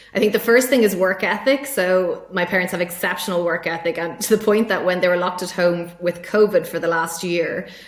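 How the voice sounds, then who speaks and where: Speaking very fast with an Irish accent, a woman at medium pitch is heard over noticeable background noise. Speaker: tech sales executive. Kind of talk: podcast interview.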